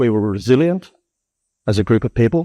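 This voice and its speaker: Speaking at a fairly quick pace with an Australian accent, a man with a medium pitch and a dark, mellow tone comes through dry and close with no echo against a quiet background. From Darwin, Australia. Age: 60s. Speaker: cyclone survivor. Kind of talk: interview. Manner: halting.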